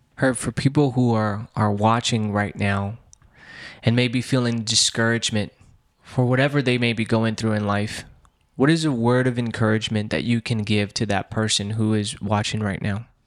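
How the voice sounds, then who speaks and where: On a very clean recording with a silent background, a man talks at a moderate pace. His is an unremarkable speaking voice, medium in pitch with fairly even intonation. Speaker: interviewer. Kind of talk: interview.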